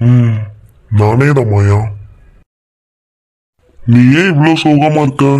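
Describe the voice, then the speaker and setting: This man talks at a very slow pace in a cartoonish character voice. His pitch is medium. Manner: teasing, cheeky.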